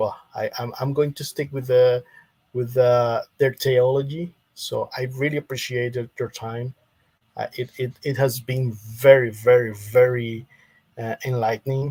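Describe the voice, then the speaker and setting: A somewhat breathy man at medium pitch and a fairly slow pace, monotone, flat intonation, big swings in loudness, dry, close sound with no echo. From Costa Rica. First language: Spanish. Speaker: Adventist believer, debate guest. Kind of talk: theological debate. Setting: live stream. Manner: halting, many repetitions.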